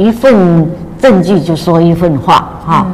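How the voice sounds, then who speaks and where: Noticeable background noise behind a woman with lively intonation. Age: 80s+. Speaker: retired teacher sharing a health testimony. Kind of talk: testimony. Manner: frequent filler sounds and repetitions.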